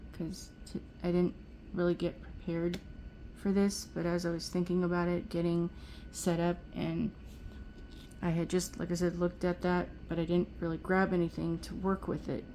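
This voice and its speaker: Moderate pace broken by long, frequent pauses. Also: woman. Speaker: nail art youtuber. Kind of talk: tutorial. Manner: monotone; halting.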